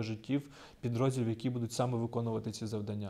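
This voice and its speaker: The man's voice has a dark, mellow tone. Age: 30s. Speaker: military intelligence officer. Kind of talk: interview; interview answer. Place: empty room. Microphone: lapel.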